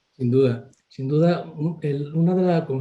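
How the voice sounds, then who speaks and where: A somewhat breathy man's voice, dark and mellow in tone, with fairly even intonation. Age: 60s. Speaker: family doctor. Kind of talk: interview.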